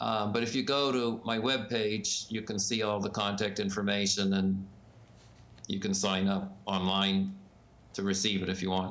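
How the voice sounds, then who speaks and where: In a room with audible echo, a man talks at a fairly low pitch with monotone, flat intonation and very even loudness. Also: moderate pace. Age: 70s. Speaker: ballot access expert and publisher. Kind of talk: interview.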